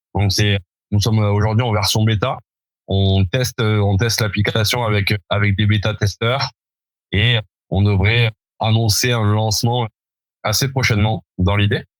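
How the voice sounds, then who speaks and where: A man speaks at a fairly slow pace and fairly low pitch, with monotone, flat intonation, very even loudness, and long, frequent pauses. The recording is very clean with a silent background, dry and close with no echo. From France, Toulouse. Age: 30s. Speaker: entrepreneur, former rugby player. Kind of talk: podcast interview.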